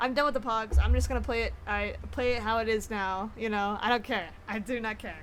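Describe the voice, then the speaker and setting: This woman has a fairly high pitch and fairly even intonation. She talks at a moderate pace. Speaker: video game streamer. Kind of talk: casual gameplay commentary. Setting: live stream. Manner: loud; casual, filler-heavy.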